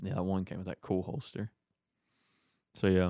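A man with a very deep, low pitch speaks in a monotone, flat intonation in a very clean recording with a silent background. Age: 20s. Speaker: gun shop owner and podcast host. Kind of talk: casual chat. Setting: studio.

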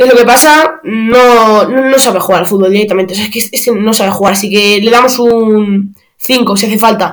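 With hardly any pauses, a man speaks in a high-pitched voice. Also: fairly even intonation, moderate pace. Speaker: football podcaster. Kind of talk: match analysis monologue. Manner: halting, many fillers.

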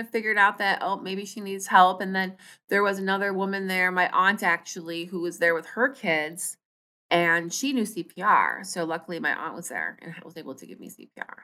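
A woman with an American accent speaks at a fairly quick pace and medium pitch, her bright, sharp and animated tone showing big swings in loudness on a very clean recording with a silent background. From Minnesota. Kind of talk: interview.

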